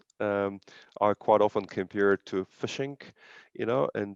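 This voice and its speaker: The sound is dry and close, without any echo. Behind it, the background stays quiet. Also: man. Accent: non-native. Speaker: real estate agent. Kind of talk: casual interview on video call. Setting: video call.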